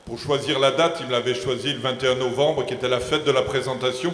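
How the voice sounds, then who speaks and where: Against music in the background and audible room echo, a man speaks at medium pitch. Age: 60s. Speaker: deacon. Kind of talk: round-table talk. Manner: halting, repeats words.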